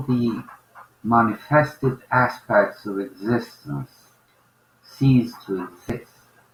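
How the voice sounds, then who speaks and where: A man with a non-native accent at a medium pitch and a very slow pace. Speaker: spiritual teacher. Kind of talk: spiritual talk.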